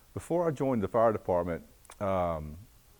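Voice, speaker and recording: A man with a Southern US accent and a very deep, low voice with a dark, mellow tone talks at a moderate pace. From US South, North Carolina (Greensboro area). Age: 60s. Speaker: retired fire captain. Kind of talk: oral history interview. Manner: halting, many fillers.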